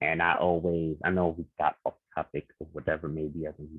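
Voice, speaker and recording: A man is speaking. He talks with a New York accent. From Queens, New York. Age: 30s. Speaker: visual artist. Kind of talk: podcast interview.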